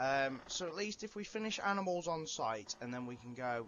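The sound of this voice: A man speaks with lively intonation. His tone is fairly bright. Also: medium pitch for a man, moderate pace.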